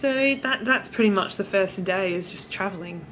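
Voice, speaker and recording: A woman speaks at a moderate pace. She has a strong Australian accent. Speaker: vlogger. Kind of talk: travel vlog. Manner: casual, hesitant with fillers.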